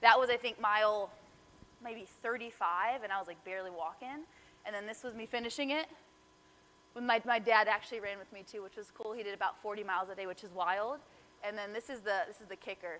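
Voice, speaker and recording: A woman with a fairly high pitch talks very fast in an animated tone, her loudness swinging widely and her pitch varying in an ordinary way. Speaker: motivational speaker, fitness coach. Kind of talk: motivational talk.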